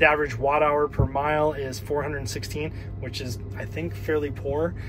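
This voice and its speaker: A man at a moderate pace with noticeable background noise. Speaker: car owner vlogger. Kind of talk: tutorial. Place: car. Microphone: phone near.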